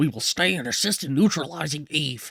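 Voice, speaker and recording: A man's put-on character voice, growling at a fairly high pitch, with lively intonation and a fairly quick pace. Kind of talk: Churchill-style oratory impression. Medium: game stream. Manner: grave, measured, commanding.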